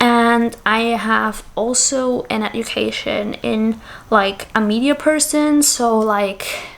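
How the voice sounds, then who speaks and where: A woman with a slight Austrian accent speaks at a very slow pace. Her pitch is fairly high and her intonation fairly even. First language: German. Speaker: content creator. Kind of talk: casual Q&A vlog. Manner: hesitant, many fillers.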